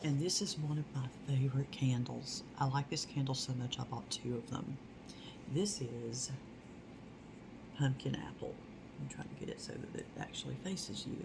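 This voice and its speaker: A woman speaks softly in a very deep, low pitch. Noticeable background noise sits behind her. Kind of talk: ASMR product haul. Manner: soft-spoken.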